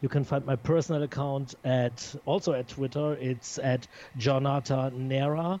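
At a moderate pace, a man speaks with fairly even intonation in a fairly high voice. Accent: non-native. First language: not English. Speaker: record label founder. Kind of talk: interview. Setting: Skype call. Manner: halting.

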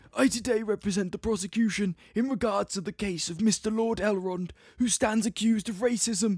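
A man puts on a wheezy character voice, pitched high and moving at a fairly quick pace. The recording is very clean, with a silent background.

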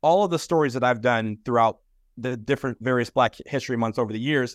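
Recorded dry and close with no echo, a man with an American accent uses a plain, everyday voice at medium pitch with ordinary pitch variation. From Michigan, US. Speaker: soccer supporters group organizer and presenter. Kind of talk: Q&A answers; presentation. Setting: video call.

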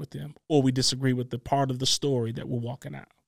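An animated man is heard in a very clean recording with a silent background, the sound dry and close with no echo. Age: 40s. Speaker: pastor and podcast host. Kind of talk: casual teaching talk.

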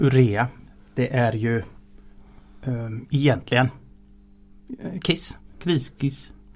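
Speaking very slowly with long, frequent pauses, the man has a medium, somewhat breathy voice and ordinary pitch variation. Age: 50s. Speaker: transport efficiency engineer. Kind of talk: interview. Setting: studio.

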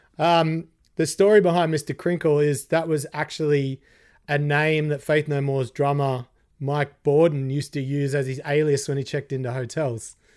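At a moderate pace, a man with an Australian accent speaks in a fairly high pitch with fairly even intonation, in a very clean recording with a silent background. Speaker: guitarist. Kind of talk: casual chat.

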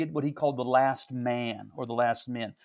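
On a very clean recording with a silent background, a man speaks with a Midwestern American accent. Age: 60s. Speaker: pastor. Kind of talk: casual interview.

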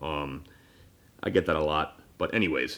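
A loud man's voice with a bright, sharp tone, on a very clean recording with a silent background. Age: 30s. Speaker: podcast host. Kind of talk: casual chat.

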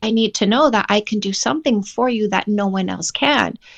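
Against a quiet background, a woman with an unremarkable speaking voice talks in a fairly high pitch with ordinary pitch variation. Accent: Canadian. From Canada. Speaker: dating coach and author. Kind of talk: casual interview chat.

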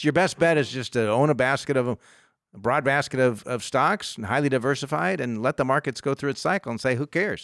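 A man talks in a plain, everyday voice at a fairly quick pace and medium pitch. His pitch variation is ordinary, and the sound is dry and close with no echo. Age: 50s. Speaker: financial advisor and radio host. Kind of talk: radio call-in show. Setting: studio.

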